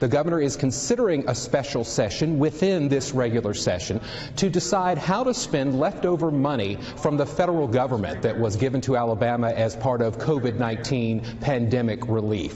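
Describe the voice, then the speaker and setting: An ordinary speaking voice with an American accent, lively intonation and a fairly quick pace. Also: man. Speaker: television news anchor and reporter. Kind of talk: field reporting live from the state capitol. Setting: on location indoors at a capitol building.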